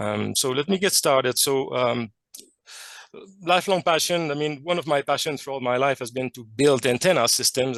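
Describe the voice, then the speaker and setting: A fairly quick delivery in a French Canadian accent, with ordinary pitch variation and a dry, close sound with no echo. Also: man. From Quebec, Canada. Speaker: chemist and amateur radio researcher. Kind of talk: technical presentation. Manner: hesitant, many fillers.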